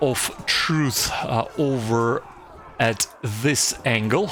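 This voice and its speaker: Over noticeable background noise, a man talks with a Slavic accent. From former Soviet Union. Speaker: strategy game YouTuber. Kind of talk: gameplay commentary. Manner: hesitant, many fillers and repetitions.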